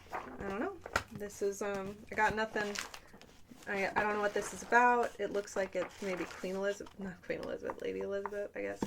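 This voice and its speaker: Noticeable background noise surrounds the speech. A woman talks fairly quickly. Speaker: ASMR creator. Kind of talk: casual rambling talk to camera.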